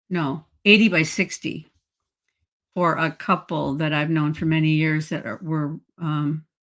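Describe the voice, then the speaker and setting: A woman's very deep, low voice moves at a fairly slow pace with fairly even intonation. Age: 70s. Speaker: artist and online video creator. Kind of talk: interview conversation. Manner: halting.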